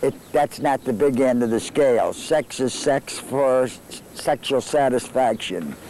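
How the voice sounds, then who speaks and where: A man speaks at a fairly high pitch and a fairly slow pace. Noticeable background noise runs behind him. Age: 70s. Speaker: interviewee. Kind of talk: interview.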